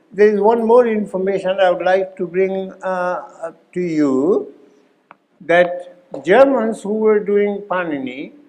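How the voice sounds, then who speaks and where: Audible room echo surrounds a man speaking at a very slow pace. His pitch is high, with ordinary variation. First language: not English. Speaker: Sanskrit grammar teacher. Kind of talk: workshop lecture.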